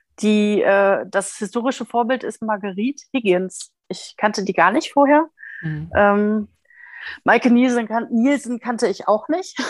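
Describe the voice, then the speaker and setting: Speaking in an ordinary speaking voice, a woman talks at a fairly high pitch. Her pace is fairly slow, with ordinary pitch variation. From Ruhr area, Germany (Recklinghausen). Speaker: book blogger. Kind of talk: casual chat.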